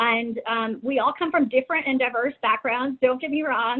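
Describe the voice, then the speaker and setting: In a Texan accent, a woman speaks with high pitch and ordinary pitch variation. Her pace is fairly quick. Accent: Texas American English. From Texas, San Antonio. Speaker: domestic violence policy coordinator. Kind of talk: webinar presentation. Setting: online webinar. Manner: halting, many fillers.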